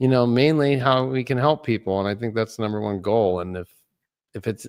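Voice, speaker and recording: A man speaks with lively intonation in a dry, close sound with no echo. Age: 40s. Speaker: astrologer, Navy veteran. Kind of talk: interview conversation. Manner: casual, halting with fillers.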